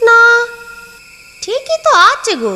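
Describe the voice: Using a cartoonish character voice, a woman speaks at an extremely high pitch.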